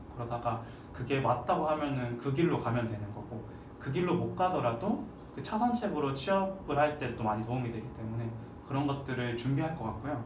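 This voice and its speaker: The speech moves at a fairly quick pace with lively intonation, with audible room echo and noticeable background noise. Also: man, medium pitch for a man. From Gyeongsang region, South Korea. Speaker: university alumnus, office worker. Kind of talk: interview.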